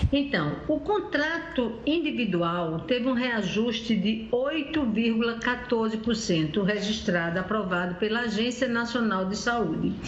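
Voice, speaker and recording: A woman's fairly high, lively voice at a fairly slow pace, with hardly any pauses and very even loudness, in audible room echo and noticeable background noise. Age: 60s. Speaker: consumer rights advocate. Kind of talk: live TV interview. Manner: halting with self-corrections.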